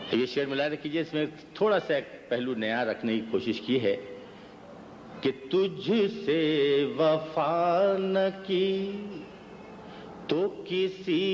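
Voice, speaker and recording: A man talks in an unremarkable speaking voice of fairly high pitch. His intonation is lively and his loudness very even. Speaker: Urdu poet. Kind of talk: poetry reading. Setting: live mushaira audience.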